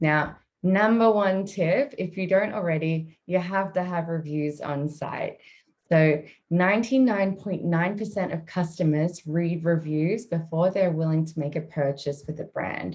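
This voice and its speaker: A woman with a strong Australian accent speaks in a fairly low voice. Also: ordinary pitch variation, fairly slow pace. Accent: Australian, thick. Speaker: marketing executive. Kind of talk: webinar presentation.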